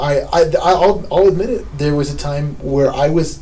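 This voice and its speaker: A man talks at moderate speed while noticeable noise carries in the background. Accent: American. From New Jersey. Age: 20s. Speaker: radio co-host. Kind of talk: casual chat. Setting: radio studio.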